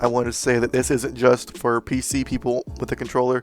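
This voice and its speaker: Delivered at a fairly quick pace with flat, monotone intonation, the speech plays over background music. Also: man. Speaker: gaming YouTuber. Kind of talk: casual gaming tutorial talk. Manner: casual, hesitant with fillers.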